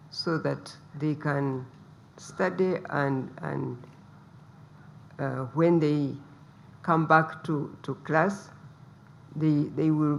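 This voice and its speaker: A soft-spoken woman talks at a very slow pace with a very deep, low pitch and fairly even intonation. Her speech has long, frequent pauses. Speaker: politician, first lady. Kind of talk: press briefing address.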